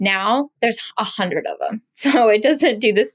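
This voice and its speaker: A woman with a fairly high pitch talks at a moderate pace with lively intonation. The sound is dry and close, with no echo. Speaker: beauty brand founder. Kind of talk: interview. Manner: animated.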